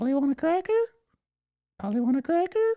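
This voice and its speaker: A put-on character voice, high-pitched, fairly quick, with very wide pitch swings. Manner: repetitive, mimicking.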